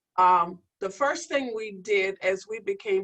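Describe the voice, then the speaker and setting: A woman with a plain, everyday voice, fairly slow pace and ordinary pitch variation. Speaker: healthcare diversity leader. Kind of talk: panel discussion.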